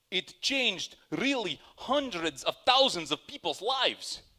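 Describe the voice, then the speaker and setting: With a high pitch and a bright, sharp tone, a man speaks at a very slow pace with very wide pitch swings, the sound dry and close with no echo. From Soviet Union. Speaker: storyteller. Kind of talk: personal storytelling.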